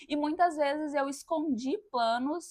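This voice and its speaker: The very clean recording has a silent background, and the voice shows ordinary pitch variation. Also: woman. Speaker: podcast host. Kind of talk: personal monologue.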